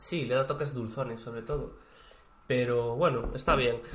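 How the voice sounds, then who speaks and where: A man speaking at a fairly slow pace, with audible room echo and noticeable background noise. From Spain, Galicia (Vigo). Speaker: podcast co-host. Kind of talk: casual chat. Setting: co-host's home.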